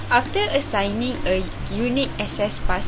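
A woman talks at a moderate pace while noticeable background noise runs beneath her. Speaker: presenter. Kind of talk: class presentation.

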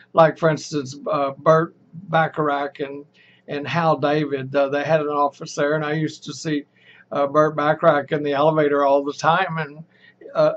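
This man speaks at a moderate pace with an American accent. His intonation is monotone and flat. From Texas. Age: old. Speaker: storyteller recalling his past. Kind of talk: oral history storytelling to camera. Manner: casual, rambling, hesitant. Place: home room.

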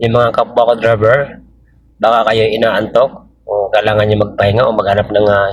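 Somewhat breathy, a man speaks at a medium pitch and moderate pace in a monotone, flat intonation. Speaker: vlogger and driver. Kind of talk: driving vlog narration. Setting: in a vehicle. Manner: halting, many fillers.

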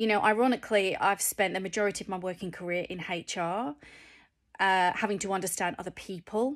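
Speaking at a fairly quick pace, a woman uses fairly even intonation with a northern English accent. The background is quiet. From England, Cheshire; England. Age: 40s. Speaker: vlogger. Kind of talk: personal vlog. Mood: reflective, candid. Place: home room. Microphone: phone near.

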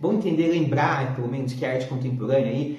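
A man is speaking. Audible room echo is heard around him. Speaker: teacher. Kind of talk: lecture. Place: home room.

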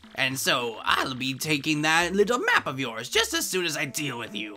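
A put-on character voice in a bright, sharp tone jumps through very wide pitch swings as faint music plays in the background. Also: man, fairly high pitch for a man, moderate pace.

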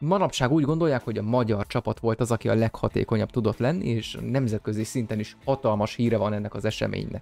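A man's voice with ordinary pitch variation. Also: dry sound with no echo. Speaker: YouTube educator. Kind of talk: explainer narration. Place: home room. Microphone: studio mic.

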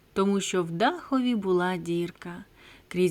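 The voice reads naturally. It sounds like a natural reading voice.

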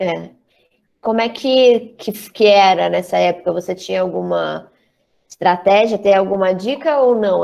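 Her loudness swings widely as this woman speaks at a moderate pace. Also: quiet background. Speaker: drama school director, co-host; co-host. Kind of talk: casual online chat, moderating questions. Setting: video call. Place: home room. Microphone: earbuds.

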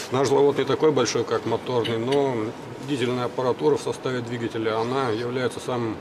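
Monotone, flat delivery from a man of medium pitch at a fairly quick pace, over noticeable background noise. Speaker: chief design engineer. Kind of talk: formal question at meeting.

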